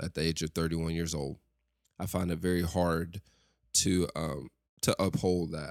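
On a very clean recording with a silent background, a man speaks with a Southern US accent at a very deep, low pitch. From West Tennessee, US South. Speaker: podcast host. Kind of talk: monologue podcast episode with prayer.

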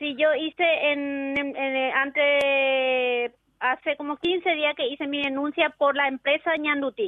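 Talking very slowly and with hardly any pauses, a woman keeps a high pitch and fairly even intonation. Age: 50s. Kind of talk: radio call-in complaint. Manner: halting.

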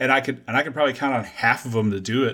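This man has a plain, everyday voice. He speaks at a medium pitch with fairly even intonation. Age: 40s. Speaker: podcast host. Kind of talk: casual chat. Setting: video call.

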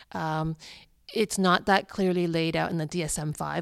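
Recorded very cleanly with a silent background, a woman speaks with a very deep, low pitch. She keeps a moderate pace and ordinary pitch variation. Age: 50s. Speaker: clinical psychologist. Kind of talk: interview.

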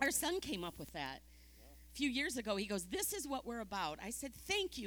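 With vocal fry and very wide pitch swings, a woman speaks at a moderate pace in a fairly high pitch. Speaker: ministry partner. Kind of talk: casual chat.

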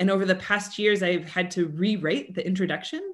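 An unremarkable speaking voice with an American accent, fairly even intonation and a moderate pace, over a quiet background. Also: woman. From Colorado, US. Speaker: theatre history professor. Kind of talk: interview.

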